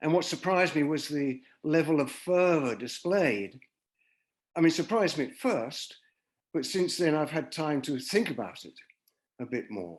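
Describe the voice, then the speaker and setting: Lively in intonation, a man with a British accent speaks at a moderate pace and fairly high pitch, with big swings in loudness. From England. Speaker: peace activist. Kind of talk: presentation.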